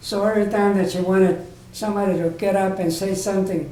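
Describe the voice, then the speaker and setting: The speaker has an American accent and keeps a moderate pace. The intonation is monotone and flat, with audible room echo. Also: man. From Southern California. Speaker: oral history interviewee. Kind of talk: oral history interview. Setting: library room. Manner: halting, repetitive.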